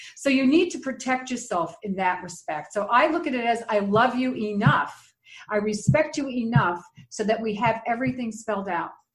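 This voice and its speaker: A plain, everyday voice at a moderate pace with lively intonation. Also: woman, fairly high pitch for a woman. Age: 60s. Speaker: dating coach and minister. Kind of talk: interview conversation.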